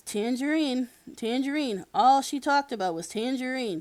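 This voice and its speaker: A female-sounding voice uses a put-on character voice, pitched high, at a moderate pace. The recording is very clean, with a silent background. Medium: read story.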